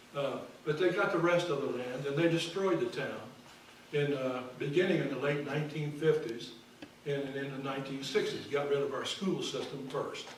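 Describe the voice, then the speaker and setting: Amid noticeable background noise and audible room echo, a man with an American accent speaks at a moderate pace. His pitch is fairly high, with ordinary pitch variation. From US Midwest, Missouri, near Hannibal on the Mississippi. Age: 70s. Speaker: retired history professor. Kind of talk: keynote lecture.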